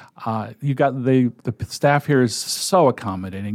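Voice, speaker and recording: Against a quiet background, a man with a medium pitch speaks at a fairly quick pace in an unremarkable speaking voice. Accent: American. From New England (Connecticut). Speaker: volunteer sports reader, retired teacher. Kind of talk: casual interview.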